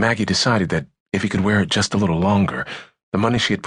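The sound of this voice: This is an unforced reading voice with fairly even intonation. Little can be heard behind it.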